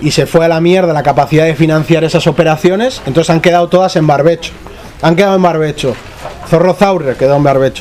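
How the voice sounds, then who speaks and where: A man speaks at a very fast pace in a fairly high pitch, with very even loudness and fairly even intonation. Noticeable background noise sits behind him. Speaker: journalist and researcher. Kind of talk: panel discussion.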